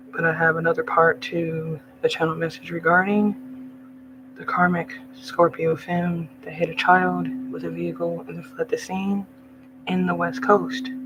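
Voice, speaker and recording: There are big swings in loudness as a man talks over noticeable background noise. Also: moderate pace. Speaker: psychic channeler. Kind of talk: monologue. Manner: agitated.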